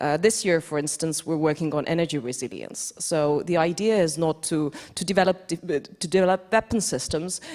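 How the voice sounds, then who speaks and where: Speaking with an Estonian accent at a fairly low pitch and moderate pace, a woman shows ordinary pitch variation and hardly any pauses on a very clean recording with a silent background. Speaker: defense innovation executive, award jury member. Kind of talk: panel discussion.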